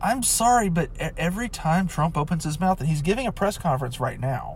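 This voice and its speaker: This man talks at a fairly quick pace, his pitch swinging very widely. His voice is somewhat breathy. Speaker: podcaster. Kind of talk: casual monologue. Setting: in a car. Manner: halting, many fillers.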